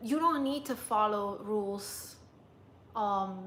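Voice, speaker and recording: This speaker has a non-native accent. The pitch varies in an ordinary way. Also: woman. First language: not English. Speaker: lifestyle vlogger and dating coach. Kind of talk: livestream chat. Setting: live stream.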